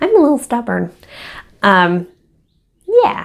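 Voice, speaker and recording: A woman's voice at a moderate pace. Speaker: crochet designer and vlogger. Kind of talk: casual vlog. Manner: halting, many fillers and repeats.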